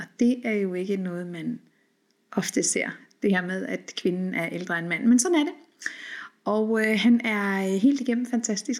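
A woman's medium-pitched voice at a fairly slow pace, with ordinary pitch variation and long, frequent pauses. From Denmark and Norway. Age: 40s. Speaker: podcast host. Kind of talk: solo podcast monologue. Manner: hesitant with many fillers.

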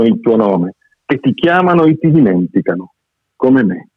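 A man speaks at a moderate pace with a medium pitch. His pitch swings very widely. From Argentina. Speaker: poet and short story writer. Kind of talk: reading aloud; casual chat.

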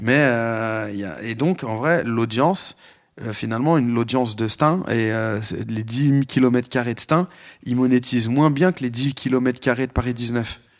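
Here a man talks at a fairly slow pace. His medium-pitched voice shows ordinary pitch variation. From France, Lyon. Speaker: hip hop podcast guest. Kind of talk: casual chat. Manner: hesitant, many fillers.

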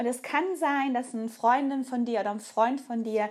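Her voice is high-pitched, with fairly even intonation. The woman speaks at a fairly slow pace. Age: 40s. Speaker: nutrition coach and podcast host. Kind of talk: solo podcast monologue.

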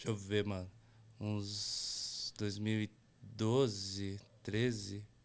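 With a São Paulo accent, a man speaks at a very slow pace in a fairly low pitch and a monotone, flat intonation. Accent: Paulistano Brazilian Portuguese. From São Paulo, Brazil (Brasilândia). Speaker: graffiti artist. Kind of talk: casual chat.

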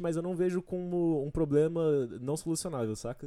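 Fairly high in pitch, a man speaks in a dark, mellow tone at a moderate pace with ordinary pitch variation, in a very clean recording with a silent background. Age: 20s. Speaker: engineering student. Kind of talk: casual chat.

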